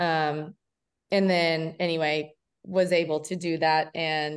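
Over a quiet background, a woman speaks in a flat monotone at a fairly low pitch. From Kentucky, Lexington. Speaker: triathlete. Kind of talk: casual interview.

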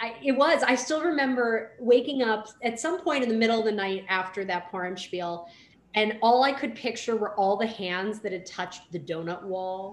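At a moderate pace, a woman with a plain, everyday voice speaks in a fairly high pitch with lively intonation. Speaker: rabbi and podcast co-host. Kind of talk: casual conversational podcast.

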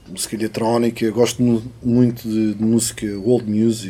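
A man speaks in a fairly low voice at a fairly slow pace. Noticeable background noise sits behind him. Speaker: musician. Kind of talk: casual chat. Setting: studio.

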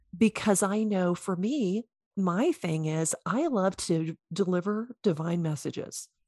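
In an American accent, a woman speaks at a fairly slow pace and a medium pitch, with ordinary pitch variation. Her tone is dark and mellow, and the sound is dry and close with no echo. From US South. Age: 50s. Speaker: intuitive coach, former chiropractor. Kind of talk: interview.

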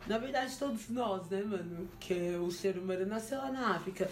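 A woman's intonation is lively at a moderate pace. Audible room echo surrounds her voice. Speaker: podcast host. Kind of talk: casual chat.

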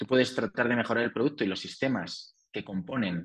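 A man with a Spanish accent, at medium pitch and a moderate pace, with ordinary pitch variation. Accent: Peninsular Spanish. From Spain. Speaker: entrepreneur and author. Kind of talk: interview.

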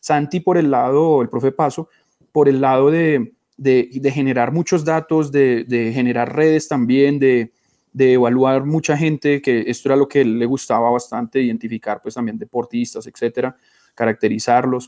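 The sound is dry and close with no echo as a man of medium pitch speaks at a moderate pace with ordinary pitch variation. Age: 30s. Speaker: molecular biology researcher. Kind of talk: interview. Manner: halting.

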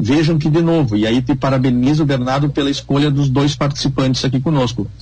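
Here a man speaks with a fairly high voice. Audible room echo is present. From Brazil, Rio Grande do Sul border region. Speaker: veterinarian and beef marketing consultant. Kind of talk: radio panel discussion.

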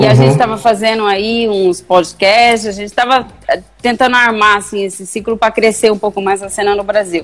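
Delivered at a fairly quick clip, an unremarkable speaking voice shows ordinary pitch variation. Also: woman, medium pitch for a woman. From Brazil, Guaíra interior. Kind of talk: casual live-stream interview.

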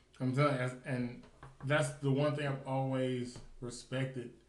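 A man speaks in a monotone, flat way. Room echo can be heard around his voice. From US South, Nashville, Tennessee. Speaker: podcast host. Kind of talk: casual chat.

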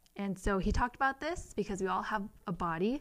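Heard on a very clean recording with a silent background, a woman speaks at medium pitch with an American accent. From US West Coast, Central Valley California (Modesto). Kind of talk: casual chat / faith testimony.

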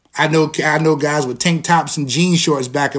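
The speaker talks at a moderate pace with a New York accent. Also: man. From Long Island, New York. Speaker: podcast host and school dean. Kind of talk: solo livestream talk. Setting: Instagram live stream. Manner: conversational.

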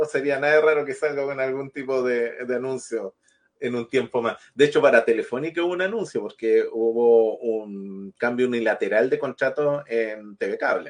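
An ordinary speaking voice, male and mid-pitched, with a moderate tempo and normal rises and falls in pitch. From Chile, another region. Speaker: TV show host. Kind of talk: casual chat.

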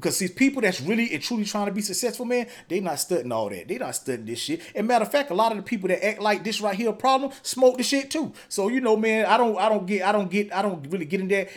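With hardly any pauses, a man talks at a very fast pace in an animated tone, his high voice full of lively intonation. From North or South Carolina, US South. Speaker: podcast host. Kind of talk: casual interview.

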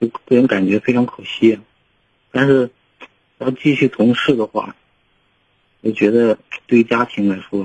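Recorded dry and close with no echo, a man speaks at medium pitch and a moderate pace with fairly even intonation. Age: 30s. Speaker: caller, oil industry field worker. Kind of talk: call-in advice. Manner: halting.

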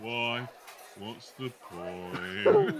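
A man with a medium pitch uses a put-on character voice with a weary tone, over clear background noise. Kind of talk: deadpan. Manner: gloomy, droning, weary.

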